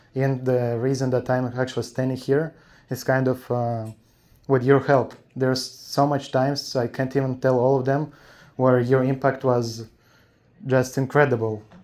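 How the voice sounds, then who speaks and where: A man with a non-native accent talks at a moderate pace. His intonation is monotone and flat. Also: medium pitch for a man. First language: not English. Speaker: fan asking a question. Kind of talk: audience question. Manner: halting.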